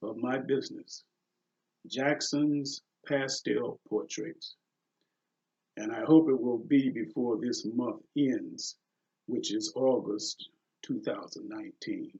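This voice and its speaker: Pauses come often and run long. The man's pace is very slow. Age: 60s. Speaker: pastel portrait artist. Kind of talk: reading aloud a prepared announcement. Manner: read from a script.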